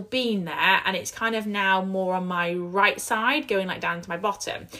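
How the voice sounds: This woman's voice is croaky, with a bright, sharp tone. She talks at a fairly slow pace.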